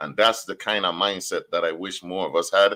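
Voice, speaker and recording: On a very clean recording with a silent background, the delivery holds a moderate pace. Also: man. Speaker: radio host. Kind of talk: casual chat. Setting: radio studio. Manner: animated.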